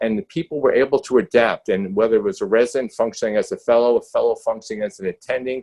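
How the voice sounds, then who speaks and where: A man talks at a very fast pace in a strong New York accent. He leaves hardly any pauses. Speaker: critical care clinician, panelist. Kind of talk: panel discussion webinar. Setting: video webinar. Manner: halting, with many fillers and restarts.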